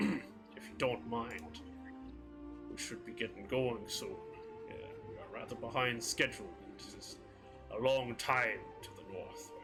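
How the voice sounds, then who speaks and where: A man performs in a put-on character voice, with big swings in loudness. Long, frequent pauses break it up while clear music plays in the background. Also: moderate pace. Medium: actual play. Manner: stiffly formal, slightly odd phrasing.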